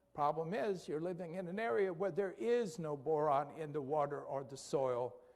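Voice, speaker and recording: There is audible room echo as a man with a fairly high pitch talks at a moderate pace with ordinary pitch variation. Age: 60s. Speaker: physician giving health presentation. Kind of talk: lecture. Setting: church presentation. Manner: halting.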